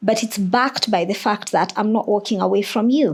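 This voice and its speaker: A woman speaks with an African accent at a fairly high pitch. Her pace is moderate, with ordinary pitch variation. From Kenya. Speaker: teacher. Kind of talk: podcast interview.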